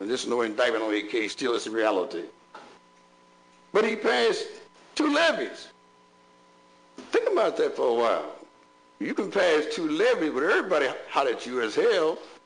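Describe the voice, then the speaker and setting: A man speaks in an animated tone at a fairly quick pace, broken by long, frequent pauses. Room echo is audible. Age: 70s. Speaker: bishop. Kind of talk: public meeting address. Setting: school board meeting. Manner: animated, preacherly.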